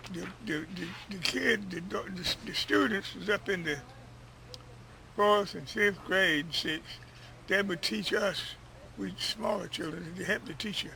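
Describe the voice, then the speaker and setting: A man with an American accent and a high pitch, fairly slow pace, long and frequent pauses, noticeable background noise. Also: ordinary pitch variation. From North Carolina. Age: 80s+. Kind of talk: interview answer.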